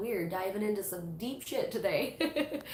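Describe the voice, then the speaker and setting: Through noticeable background noise and audible room echo, a woman speaks at a very slow pace. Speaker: tarot reader and witchcraft YouTuber. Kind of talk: live stream book club chat. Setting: live stream. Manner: casual, many fillers.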